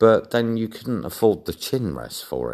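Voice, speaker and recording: This voice belongs to a man. He has an English accent. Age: 40s. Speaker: video blogger. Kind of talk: personal storytelling monologue.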